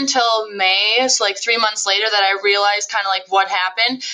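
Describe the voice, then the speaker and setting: Noticeable background noise runs under this recording. A woman with an American accent speaks with ordinary pitch variation. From central Wisconsin. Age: 20s. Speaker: direct sales business owner. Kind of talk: interview.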